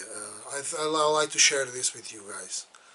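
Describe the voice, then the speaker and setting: Against noticeable background noise, a man talks at a very slow pace with a fairly high pitch. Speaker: model railroad hobbyist. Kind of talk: tutorial. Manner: halting.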